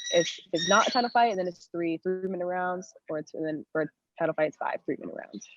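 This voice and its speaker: A woman's medium-pitched, plain, everyday voice at a fairly quick pace, with ordinary pitch variation and a dry, close sound with no echo. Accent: American. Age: 20s. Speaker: Muay Thai fighter. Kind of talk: podcast interview. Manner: casual, many fillers.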